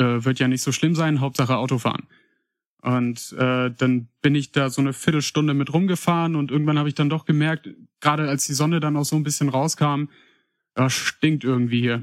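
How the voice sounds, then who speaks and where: The recording is very clean, with a silent background. Delivery is fairly quick, with fairly even intonation. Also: man, fairly high pitch for a man, dry, close sound with no echo. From Paderborn, Germany. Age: 20s. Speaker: listener contributor. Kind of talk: casual storytelling.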